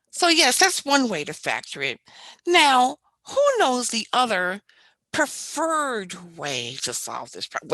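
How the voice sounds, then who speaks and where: A put-on character voice, female-sounding and high-pitched, at a fairly slow pace. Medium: stage play. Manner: curt, unenthusiastic.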